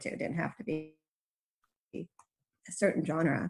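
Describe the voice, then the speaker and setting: Her voice fairly low and marked by vocal fry, a woman speaks with fairly even intonation. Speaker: urban fantasy author. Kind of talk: casual chat.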